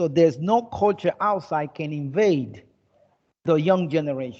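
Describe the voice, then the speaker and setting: A man with an American accent talks at a fairly slow pace in an unremarkable speaking voice, his fairly high pitch carried by lively intonation. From United States. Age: 50s. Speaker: English teacher. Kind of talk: online class lecture.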